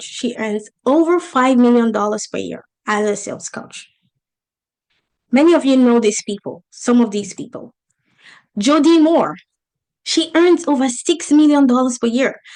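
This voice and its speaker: A woman with an African accent speaks in a high pitch at a fairly slow pace. Her tone is animated and her intonation lively. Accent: African accent, noticeable. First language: not English. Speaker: business coach. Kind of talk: online masterclass presentation.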